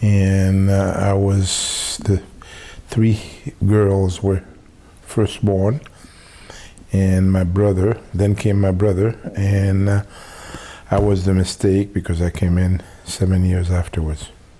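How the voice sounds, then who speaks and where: At a very slow pace, the speaker's loudness stays very even and the intonation monotone and flat, with long, frequent pauses and noticeable background noise. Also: man, fairly low pitch for a man. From Haiti. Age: 60s. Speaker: family elder interviewee. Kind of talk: oral history interview. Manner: halting, many filler pauses.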